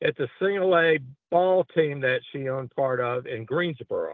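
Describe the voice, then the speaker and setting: A high-pitched man's voice with a Southern US accent. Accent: Southern US drawl. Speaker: wrestling announcer. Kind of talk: casual interview chat. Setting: phone call.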